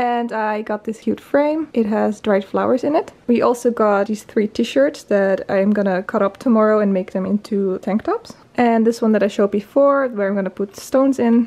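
A moderate pace with hardly any pauses and ordinary pitch variation. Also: woman. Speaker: vlogger. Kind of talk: casual vlog chat. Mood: cheerful, relaxed. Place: home room. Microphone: phone near.

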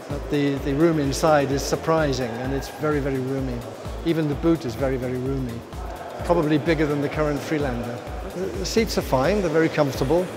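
Behind a man's fairly quick speech, music is clearly heard. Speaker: reader reviewing a car. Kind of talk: interview answer. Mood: positive, relaxed. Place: studio. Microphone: lapel.

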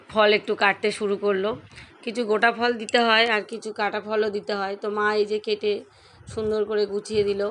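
This woman speaks at a fairly high pitch with monotone, flat intonation. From West Bengal, South 24 Parganas. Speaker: vlogger. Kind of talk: vlog narration.

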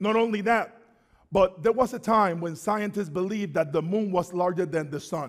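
The voice has an animated tone and ordinary pitch variation. The background is quiet. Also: man. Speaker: preacher. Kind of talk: sermon. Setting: church. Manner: call-and-response. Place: church.

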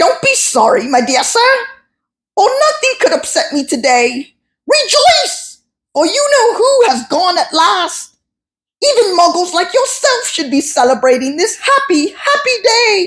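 In a put-on character voice, the speaker squeaks at an extremely high pitch with very wide pitch swings and a fairly slow pace. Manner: gleeful, joyful.

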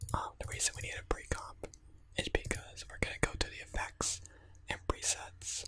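The speaker is a man, whispering. His pace is moderate. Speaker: ASMR creator. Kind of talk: ASMR software tutorial. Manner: whispered.

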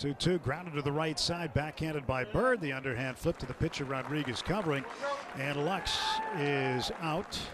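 A fairly high-pitched male voice with ordinary pitch variation amid noticeable background noise. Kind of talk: live sports commentary (baseball play-by-play). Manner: animated, fast play-by-play delivery.

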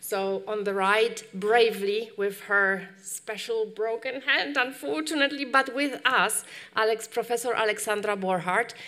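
Fairly slow speech from a woman, with ordinary pitch variation. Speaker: panel moderator. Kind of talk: moderator introduction. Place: hall. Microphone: podium.

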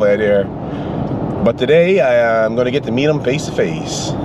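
A man's voice comes through with noticeable background noise and a dry sound with no echo. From Newfoundland. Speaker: military veteran. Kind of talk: vlog talk to camera while driving. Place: car. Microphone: phone near.

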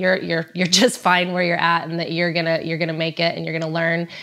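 A woman speaks with fairly low pitch, vocal fry and a monotone, flat intonation. The background is quiet. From Michigan. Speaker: photographer and conference speaker; conference speaker. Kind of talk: interview. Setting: at a conference. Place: home room.

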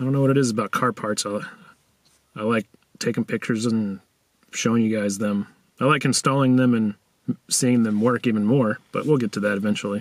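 The delivery is fairly quick with fairly even intonation. The sound is dry with no echo over a quiet background. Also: man. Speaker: car vlogger. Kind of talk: casual vlog chat. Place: car. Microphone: phone near.

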